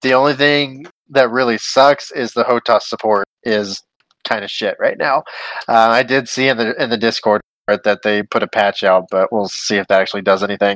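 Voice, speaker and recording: With a dry, close sound and no echo, a man talks at a moderate pace in a medium pitch, showing ordinary pitch variation. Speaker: podcast host. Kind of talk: casual chat. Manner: animated, swears casually.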